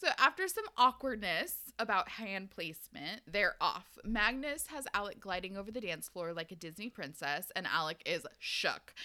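Speaking at a moderate pace with an American accent, a woman uses a medium pitch, a bright, sharp tone, lively intonation and big swings in loudness. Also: hardly any pauses. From US Pacific Northwest. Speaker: podcast co-host. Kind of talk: casual chat with book recap.

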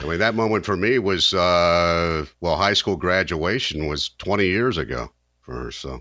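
With a very deep, low pitch and vocal fry, a man talks at a fairly slow pace in a bright, sharp tone with lively intonation. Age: 50s. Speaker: podcast co-host. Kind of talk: casual chat.

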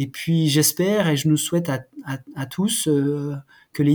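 A man's fairly high-pitched voice. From France, Jura (Haut-Doubs). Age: 40s. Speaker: former Olympic athlete and clothing brand founder. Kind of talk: interview. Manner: halting, many repetitions.

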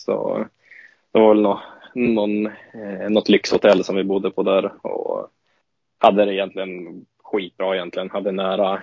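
A man talks at a fairly slow pace. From northern Sweden, Åsele (Lapland). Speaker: ice hockey player. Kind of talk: interview. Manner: halting.

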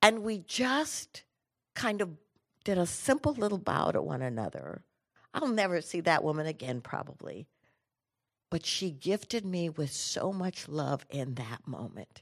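Against a quiet background, a woman speaks at a fairly low pitch with vocal fry and an animated tone. Her pitch swings very widely, her pace is fairly slow, and she leaves long, frequent pauses. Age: 70s. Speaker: inspirational speaker and singer. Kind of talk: motivational talk.

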